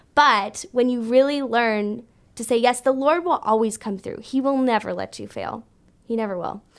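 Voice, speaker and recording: In an ordinary speaking voice, a woman with a Canadian accent speaks at a moderate pace and a fairly high pitch, with ordinary pitch variation and big swings in loudness, on a very clean recording with a silent background. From Canada, Brampton, Ontario. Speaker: worship leader and church ministries director. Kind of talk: interview.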